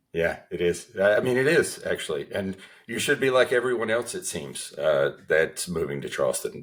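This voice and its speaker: This man speaks in a Southern US accent. His pace is moderate. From US Southeast. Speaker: cancer survivor and author. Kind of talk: interview. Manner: hesitant with fillers.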